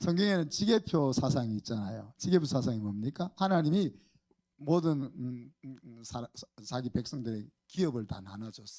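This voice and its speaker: A man talks at a moderate pace with a dark, mellow tone. His pitch swings very widely. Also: medium pitch for a man, big swings in loudness. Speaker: pastor. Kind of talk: sermon. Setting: church. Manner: animated.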